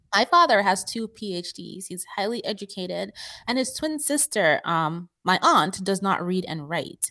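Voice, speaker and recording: Recorded very cleanly against a silent background, a woman speaks at a moderate pace with a medium pitch and a bright, sharp tone. Her intonation is lively and her loudness swings widely. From Nigeria. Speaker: personal finance expert. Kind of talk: interview.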